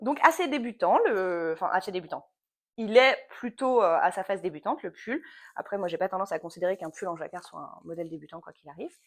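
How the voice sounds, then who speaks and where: A woman's medium-pitched voice at a very fast pace, with lively intonation and big swings in loudness, on a very clean recording with a silent background. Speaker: knitting podcaster, yoga teacher. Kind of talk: casual knitting vlog chat. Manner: hesitant, many fillers.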